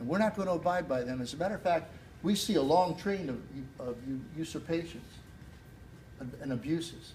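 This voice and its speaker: Lively intonation marks this voice, which keeps a moderate tempo. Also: man. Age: 60s. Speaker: political candidate. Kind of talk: campaign speech. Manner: halting, many repetitions.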